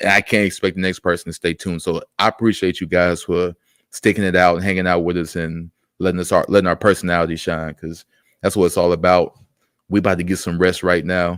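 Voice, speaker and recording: Over a very clean, silent background, a man with a very deep, low pitch talks at a very fast pace, the sound dry and close with no echo. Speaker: wrestling streamer. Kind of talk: casual chat. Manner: animated.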